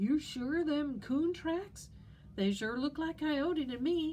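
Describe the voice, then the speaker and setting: A woman puts on a squeaky, high-pitched character voice at a fairly slow pace, with clear background noise behind her. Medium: read story. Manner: excitable, eager.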